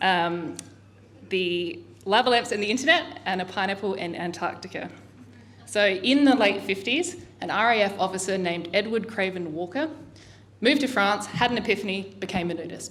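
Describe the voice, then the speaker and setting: A woman with an Australian accent talks at a medium pitch with lively intonation over noticeable background noise. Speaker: artist. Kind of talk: artist talk. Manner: fast.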